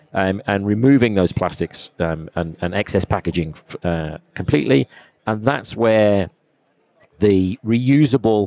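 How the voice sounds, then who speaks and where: A man's fairly low, plain, everyday voice at a moderate pace with lively intonation. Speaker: sustainability startup founder. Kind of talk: casual interview. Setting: podcast booth at a conference.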